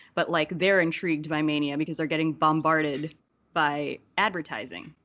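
A woman with an American accent, a very deep, low pitch and fairly even intonation, over a quiet background. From New Jersey. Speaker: wrestling commentator guest. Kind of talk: casual chat.

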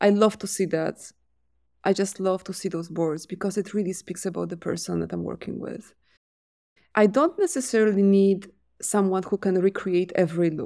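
In a Polish accent, a woman speaks at a moderate pace with fairly even intonation and a dark, mellow tone, on a very clean recording with a silent background. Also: medium pitch for a woman. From Poland. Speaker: commercial director. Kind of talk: interview conversation.

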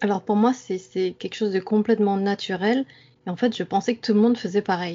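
At a fairly quick pace, an unremarkable speaking voice delivers its words with fairly even intonation. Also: woman, medium pitch for a woman. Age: 30s. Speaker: dream enthusiast. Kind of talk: interview.

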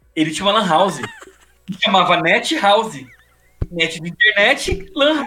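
Projecting a raised voice at a high pitch, a man speaks at a moderate pace with lively intonation and long, frequent pauses. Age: 40s. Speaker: motorcycle youtuber. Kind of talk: casual chat.

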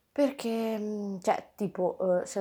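A woman's dark, mellow tone. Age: 20s. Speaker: podcaster. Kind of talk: casual monologue. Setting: at home. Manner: chatty, informal.

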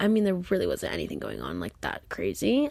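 In a very clean recording with a silent background, a woman speaks at a fairly quick pace. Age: 20s. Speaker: podcaster and former YouTuber. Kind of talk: casual solo chat. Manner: animated.

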